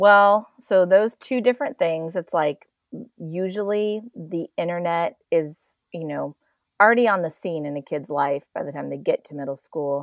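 A woman speaks in a plain, everyday voice at a moderate pace. Her intonation is lively, with big swings in loudness. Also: fairly low pitch for a woman. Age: 50s. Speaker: online safety advocate. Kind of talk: interview.

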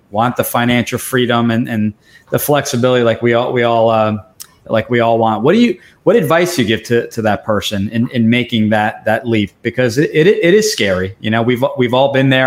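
Ordinary pitch variation marks this fairly quick-paced speech. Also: man. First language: Italian. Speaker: podcast host. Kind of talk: interview.

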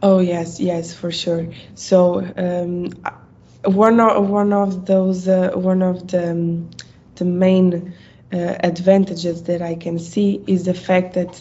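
Medium-pitched, somewhat breathy speech from a woman. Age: 20s. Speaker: project manager. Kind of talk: interview. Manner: halting, many fillers.

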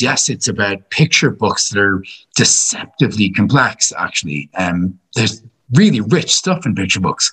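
Bright, sharp tone from a man with a Dublin accent, fairly low pitch and a moderate pace. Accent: Irish, Dublin. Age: 40s. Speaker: philosophy teacher. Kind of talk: casual chat.

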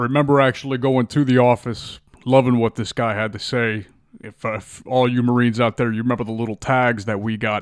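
Recorded very cleanly with a silent background, a man with an American accent talks fairly quickly in a medium pitch, his intonation monotone and flat. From Miami, Florida. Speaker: podcast host, Marine Corps veteran. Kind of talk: casual monologue.

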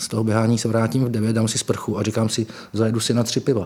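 A man speaks very fast in a medium pitch. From small town in Moravia, Czech Republic. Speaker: political journalist and author. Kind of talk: conversational interview.

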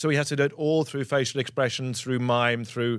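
In a very clean recording with a silent background, a man with a medium pitch and ordinary pitch variation speaks at a very fast pace. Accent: English. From England. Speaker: actor. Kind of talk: casual chat.

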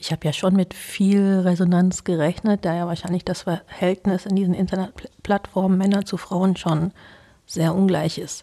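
At a moderate pace, a woman speaks in a medium pitch with a dark, mellow tone, somewhat breathy and monotone with flat intonation. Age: 40s. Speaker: interview guest. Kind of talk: casual interview.

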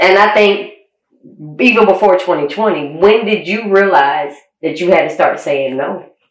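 With audible room echo, a woman speaks at medium pitch and a fairly slow pace, using ordinary pitch variation. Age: 40s. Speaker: podcast host. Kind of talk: casual chat. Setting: studio.

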